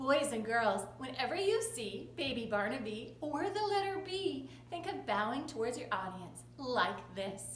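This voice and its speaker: A high-pitched woman talks at a fairly slow pace with hardly any pauses and very wide pitch swings. Noticeable background noise can be heard. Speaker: kindergarten teacher. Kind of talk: children's lesson talk to camera.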